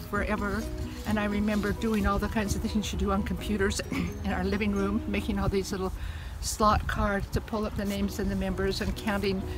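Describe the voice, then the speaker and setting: Clear music plays behind a woman who speaks at a moderate pace in a dry sound with no echo. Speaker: grandmother telling family stories. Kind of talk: family storytelling, casual reminiscence. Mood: reflective, fond reminiscing. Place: open country. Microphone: phone near.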